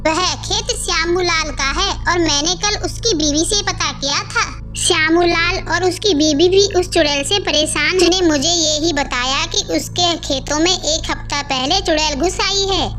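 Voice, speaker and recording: A woman puts on a cartoonish character voice at an extremely high pitch, talking at a moderate pace with hardly any pauses. Loud music plays behind her. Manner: scolding.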